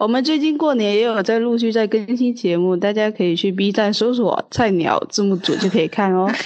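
At a fairly quick pace with hardly any pauses, a woman talks in a fairly high pitch, her pitch variation ordinary and her loudness very even. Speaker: podcast guest. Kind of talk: casual chat.

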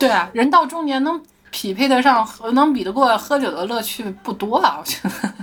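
A woman speaks at a high pitch with lively intonation. Her pace is moderate, with noticeable background noise behind her. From Shandong, China.

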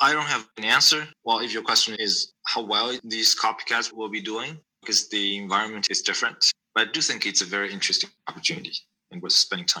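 With a Chinese accent, a man talks very fast at a medium pitch, his intonation lively. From China. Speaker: venture capital investor. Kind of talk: interview. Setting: remote call.

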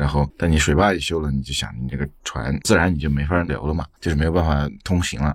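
Vocal fry at a very fast pace with ordinary pitch variation. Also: man, very deep, low pitch for a man. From Chengdu. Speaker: podcast producer. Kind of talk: interview conversation.

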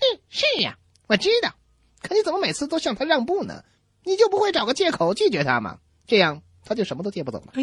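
The delivery is very fast, with big swings in loudness and long, frequent pauses. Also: woman, high pitch for a woman. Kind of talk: comic radio acting. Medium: comedy sketch. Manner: irritated, scolding.

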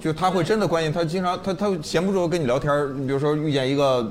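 The speech comes at a fairly quick pace with lively intonation. Noticeable background noise sits behind it. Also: man. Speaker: comedy venue host / emcee. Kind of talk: live audience chat show. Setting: stage with live audience.

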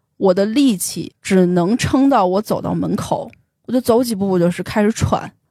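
Over a very clean recording with a silent background, a woman with a dark, mellow tone speaks at a moderate pace with ordinary pitch variation. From Beijing. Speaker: tech company employee sharing life story. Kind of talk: personal testimony in interview.

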